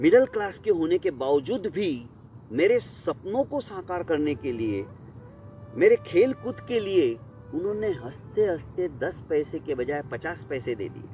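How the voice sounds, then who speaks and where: Music plays in the background as a man speaks at a fairly high pitch. His pitch swings very widely and his loudness rises and falls sharply. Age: 60s. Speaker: storyteller. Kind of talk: personal storytelling.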